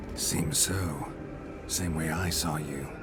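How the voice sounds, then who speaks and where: Someone performs a put-on character voice. Loud background noise runs underneath. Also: man, very deep, low pitch for a man. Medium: short film. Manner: terse, deadpan.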